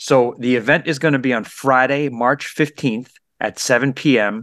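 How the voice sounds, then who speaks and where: In a normal speaking voice, a man talks at a medium pitch and moderate pace with ordinary pitch variation, recorded dry and close with no echo on a very clean track with a silent background. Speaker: radio host. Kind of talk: radio show hosting.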